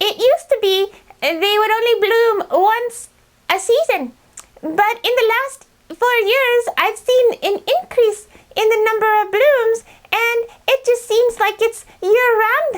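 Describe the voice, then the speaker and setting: This put-on character voice is squeaky and extremely high in pitch. It moves at a fairly slow pace. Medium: comedy sketch. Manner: halting, full of uh's.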